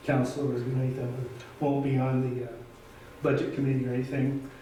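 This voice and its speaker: A man with a medium-pitched voice speaks over noticeable background noise, and the room echo is audible. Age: 70s. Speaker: city councilor. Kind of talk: council meeting statement. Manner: halting.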